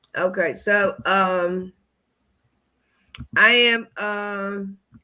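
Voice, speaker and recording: Her bright, sharp tone, medium pitch and fairly even intonation mark this woman's speech. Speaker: comedian. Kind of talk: casual chat.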